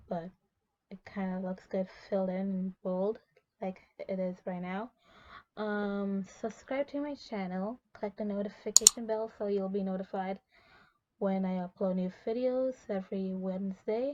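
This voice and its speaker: A quiet woman's voice at medium pitch, fairly slow, with fairly even intonation. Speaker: beauty vlogger. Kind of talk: casual chat. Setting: in a walk-in closet at night. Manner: quiet and low volume; hushed to avoid waking others.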